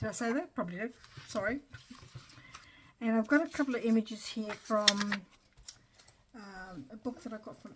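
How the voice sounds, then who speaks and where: Against noticeable background noise, a woman talks at a moderate pace. Her fairly high voice carries lively intonation. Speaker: papercraft YouTuber. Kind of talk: crafting tutorial chat. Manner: hesitant, many fillers.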